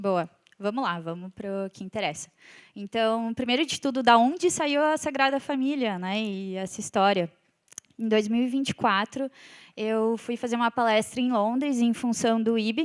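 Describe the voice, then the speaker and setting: A woman speaks with a southern Brazilian accent at a moderate pace. Her pitch is fairly high. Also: ordinary pitch variation, dry, close sound with no echo. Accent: gaúcho Brazilian Portuguese. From southern Brazil (Rio Grande do Sul). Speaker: civil engineer and company executive. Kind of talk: conference talk. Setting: stage with audience.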